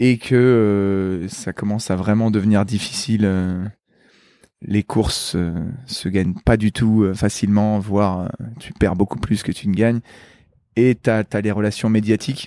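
With a dark, mellow tone and fairly low pitch, a man talks at a fairly slow pace, leaving long, frequent pauses. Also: dry, close sound with no echo. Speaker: Olympic athlete. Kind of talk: interview.

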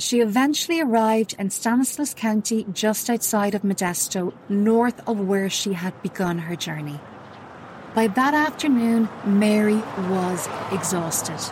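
Over noticeable background noise, a woman with a fairly high pitch speaks fairly slowly in a solemn tone with lively intonation. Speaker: true crime podcaster. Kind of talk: true-crime narration, scripted and sombre. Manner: grave, measured, solemn; steady, unsensational.

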